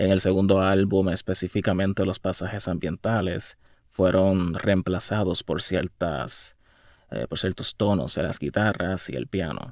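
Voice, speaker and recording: Very deep and low, a man's voice carries vocal fry at a fairly slow pace. The recording is very clean with a silent background. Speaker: musician. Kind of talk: casual video monologue. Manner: halting.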